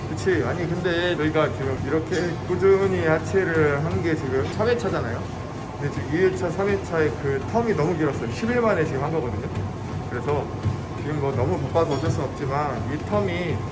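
The pace of the speech is moderate. Behind it, music plays. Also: man. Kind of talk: casual vlog chat. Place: gym. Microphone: phone near.

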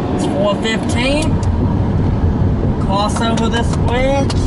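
Very slow speech over loud background noise. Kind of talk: casual road trip commentary. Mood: excited about new state. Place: car. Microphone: camera far.

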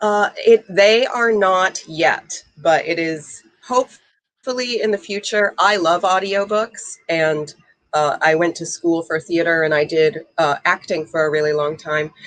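A woman talks at a fairly slow pace and fairly low pitch, with ordinary pitch variation over a quiet background. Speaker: author and ballroom dancer. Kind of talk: casual interview. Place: home room. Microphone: video call.

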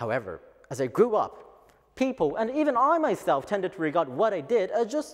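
Against a quiet background, a high-pitched man speaks at a moderate pace with very wide pitch swings. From Japan. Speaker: office worker. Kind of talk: English speech contest oration. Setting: lecture hall stage. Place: hall.

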